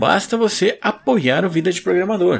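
Over background music, a man with a Brazilian accent speaks in a high voice at a fairly slow pace. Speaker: podcast host. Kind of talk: casual chat; sales pitch.

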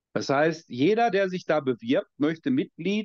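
Very slowly and with lively intonation, a high-pitched man speaks in a dry, close sound with no echo. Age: 50s. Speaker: American football coach. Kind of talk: casual chat.

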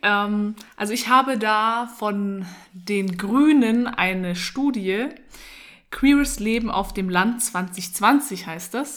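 The recording is very clean and the background silent. Her medium-pitched voice belongs to a woman. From Munich, Germany. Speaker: podcast co-host. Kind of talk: casual chat. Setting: at home in a flat.

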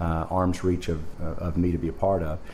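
A dark, mellow tone delivered at a moderate pace. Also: man. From US South, Arkansas. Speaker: nuclear industry executive. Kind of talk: interview.

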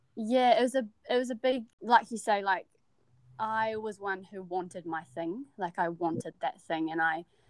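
A woman speaks with a New Zealand accent and ordinary pitch variation. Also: medium pitch for a woman, moderate pace. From New Zealand, Wellington. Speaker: university student. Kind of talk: casual interview.

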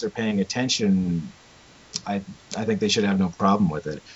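Over noticeable background noise, a man's pitch swings very widely. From Canadian prairies, small town. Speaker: video blogger, film reviewer. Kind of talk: casual chat.

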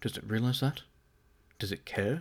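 There's a man talking at a fairly quick pace with ordinary pitch variation. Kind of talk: audiobook narration. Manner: casual and halting, stumbling over words and self-correcting.

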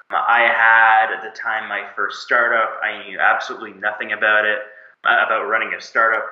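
Room echo can be heard. The man talking keeps a fairly quick pace. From Canada, Moncton, New Brunswick. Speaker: agency founder and CEO. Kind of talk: interview.

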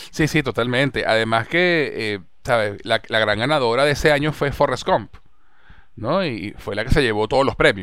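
A man's ordinary speaking voice at medium pitch, with lively intonation, a moderate pace, and a very clean recording over a silent background. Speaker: podcast host. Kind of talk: casual chat.

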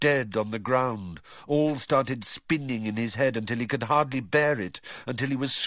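The reading is delivered in a natural reading voice with ordinary pitch variation.

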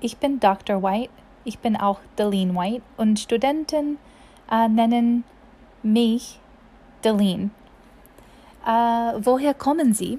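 A woman's fairly high voice with a dark, mellow tone, at a very slow pace with long, frequent pauses. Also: ordinary pitch variation. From US South, Mississippi. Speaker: German language teacher. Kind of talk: language tutorial. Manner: halting, with frequent fillers.

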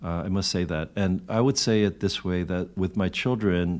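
Set against a silent background on a very clean recording, a man with a very deep, low pitch speaks at a moderate pace in fairly even intonation. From Korea, raised in the US from age two. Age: 50s. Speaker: pastor. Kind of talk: casual interview conversation. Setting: video-recorded podcast conversation.

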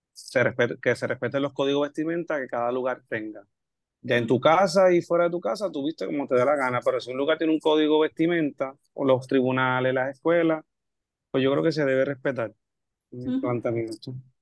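Fairly high in pitch, a man talks at a fairly quick pace in a normal speaking voice. His pitch varies in an ordinary way, and the sound is dry and close with no echo. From Puerto Rico, Camuy. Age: 30s. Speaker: history teacher. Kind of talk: casual discussion.

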